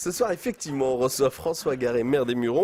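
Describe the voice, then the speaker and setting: A man's very fast, dark, mellow voice at medium pitch, with a dry, close sound and no echo. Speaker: radio host. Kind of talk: radio interview.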